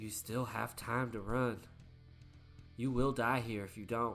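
Using a put-on character voice, a man speaks at a fairly slow pace and medium pitch in a monotone, flat intonation over clear background noise.

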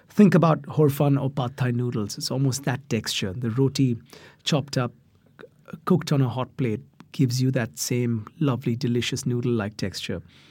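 A man talks at a moderate pace, his voice somewhat breathy. His pitch is medium, with ordinary variation. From India. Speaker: chef and cookbook author. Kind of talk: casual interview giving cooking tips.

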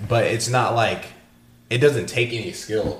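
A man's somewhat breathy voice, fairly slow and fairly even in intonation. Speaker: podcast co-host. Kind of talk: casual chat.

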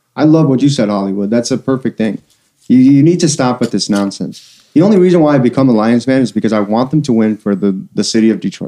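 The man's tone is dark and mellow. He talks very fast, his intonation lively. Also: medium pitch for a man. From Albania. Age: 40s. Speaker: podcast guest. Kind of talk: casual chat. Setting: studio.

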